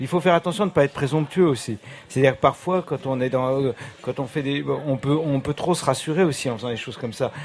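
This man's pitch is fairly high, with ordinary variation. He talks at a very fast pace. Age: 50s. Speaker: record producer and label owner. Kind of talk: radio interview.

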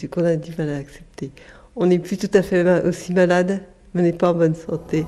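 A woman talks fairly slowly, her fairly low voice dark and mellow in tone. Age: 50s. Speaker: Parkinson's patient. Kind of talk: testimony.

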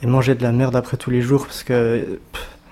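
Medium-pitched, monotone, flat male voice against noticeable background noise. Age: 20s. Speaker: fast-food trainer and protester. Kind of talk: interview testimony. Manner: casual, halting.

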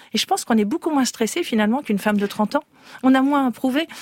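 A woman talks in a normal speaking voice at a fairly quick pace, with lively intonation. The sound is dry and close, with no echo. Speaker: beauty magazine editor. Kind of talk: radio panel discussion.

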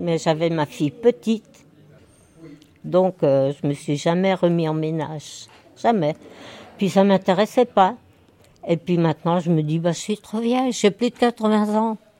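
Fairly low-pitched woman's voice, lively intonation, fairly slow pace with long, frequent pauses, dry, close sound with no echo, noticeable background noise. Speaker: nursing home resident. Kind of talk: casual interview.

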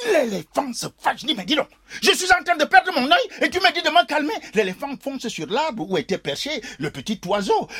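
Over noticeable background noise, a man speaks at a moderate pace in an extremely high, raised and projected voice with an animated tone and very wide pitch swings, the sound dry and close with no echo. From Cameroon, Douala. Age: old. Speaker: storyteller. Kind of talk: storytelling performance.

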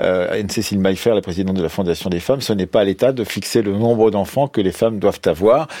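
The man talks at a very fast pace in a dark, mellow tone. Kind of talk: radio debate moderation.

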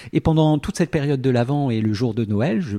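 Lively intonation and a fairly quick pace mark this man's speech, and his tone is dark and mellow. The sound is dry and close with no echo. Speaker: radio host. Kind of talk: radio presentation and interview. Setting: studio.

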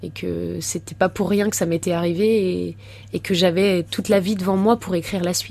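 The speaker is a woman. She talks fairly quickly. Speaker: former footballer and speaker. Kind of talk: radio interview.

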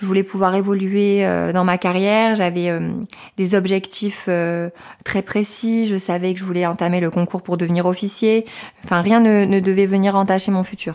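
In monotone, flat intonation, a woman speaks at medium pitch and a moderate pace. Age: 20s. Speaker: former soldier. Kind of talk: testimony. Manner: halting.

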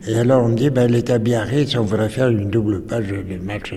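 Noticeable background noise and audible room echo surround a man talking at a fairly slow pace with ordinary pitch variation. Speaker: writer and former journalist. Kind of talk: recollection interview. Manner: halting, repeating words.

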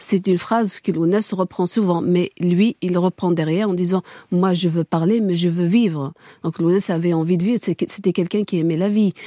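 With an Algerian accent, a woman talks at a medium pitch with fairly even intonation, her dark, mellow tone captured in a dry, close sound with no echo. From Kabylie, Algeria. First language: Kabyle (speaking French). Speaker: widow of a murdered singer, activist. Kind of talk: radio interview, testimony. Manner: halting, many repetitions.

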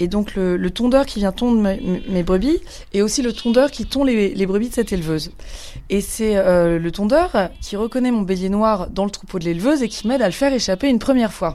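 A woman's medium-pitched voice, dark and mellow in tone, at a fairly quick pace with ordinary pitch variation. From Paris. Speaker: sheep farmer. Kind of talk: testimony.

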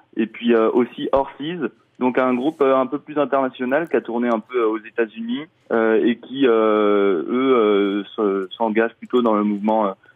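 A man speaks at a medium pitch with fairly even intonation. His pace is very slow. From Mayenne, France. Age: 20s. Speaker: festival programmer. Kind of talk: radio interview. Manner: halting.

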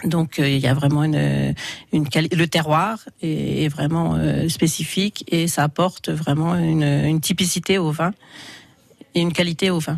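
Her loudness very even, a woman talks at a fairly slow pace with long, frequent pauses. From Burgundy, France (Vézelay, Yonne). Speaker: winegrower. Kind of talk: radio interview. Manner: halting.

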